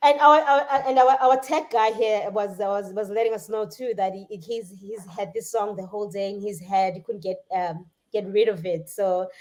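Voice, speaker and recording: A woman with a South African accent, at medium pitch and a moderate pace, with hardly any pauses, ordinary pitch variation and big swings in loudness. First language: Xhosa. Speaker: musician. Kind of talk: casual chat. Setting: live stream. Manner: halting.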